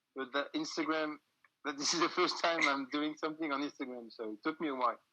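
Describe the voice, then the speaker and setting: Fairly high in pitch, this man speaks with a French accent. His tone is bright and sharp, his intonation fairly even. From France. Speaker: music booker and band musician. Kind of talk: casual interview chat. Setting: Instagram live video call. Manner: halting.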